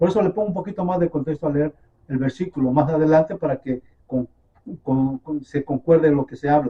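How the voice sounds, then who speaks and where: A man's fairly high, somewhat breathy voice moves along at a fairly quick pace. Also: ordinary pitch variation. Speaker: messianic bible teacher. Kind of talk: sermon.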